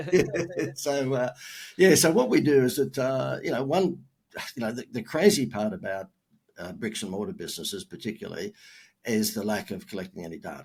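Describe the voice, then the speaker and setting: Very wide pitch swings and vocal fry from a man with an Australian accent, with long, frequent pauses, in a very clean recording over a silent background. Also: medium pitch for a man, fairly quick pace, big swings in loudness. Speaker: marketing consultant. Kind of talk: podcast interview. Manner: casual, filler-heavy.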